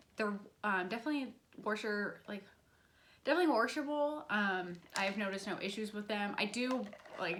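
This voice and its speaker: Fairly quick speech with ordinary pitch variation, long, frequent pauses and audible room echo. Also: woman, medium pitch for a woman. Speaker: beauty and lifestyle vlogger. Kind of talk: casual product review vlog. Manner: fast; chatty, many fillers.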